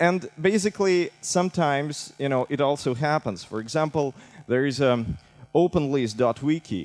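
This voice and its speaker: Recorded dry and close with no echo, a man with a Russian accent talks at a medium pitch and fairly slow pace with lively intonation. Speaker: civic tech director. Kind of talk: conference talk.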